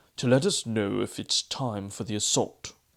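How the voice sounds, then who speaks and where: A man's put-on character voice, fairly low in pitch, with fairly even intonation at a moderate pace. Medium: read story.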